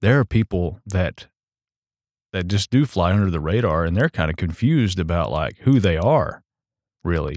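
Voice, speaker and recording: An unremarkable speaking voice from a man at a moderate pace, lively intonation, dry and close with no echo, in a very clean recording with a silent background. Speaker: podcast host. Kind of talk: interview. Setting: studio. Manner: casual, filler-heavy.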